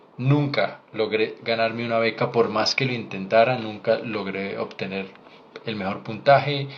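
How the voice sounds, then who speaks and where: Over noticeable background noise, a man speaks at a fairly slow pace. His medium pitch keeps a fairly even intonation. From Colombia. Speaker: doctor. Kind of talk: live Q&A stream. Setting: livestream.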